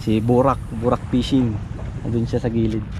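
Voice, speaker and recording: Through noticeable background noise, a man speaks at a fairly quick pace with monotone, flat intonation and a dry sound with no echo. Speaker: fishing vlogger. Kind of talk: casual vlog chat. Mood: cheerful, laughing. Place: waterside. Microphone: phone near.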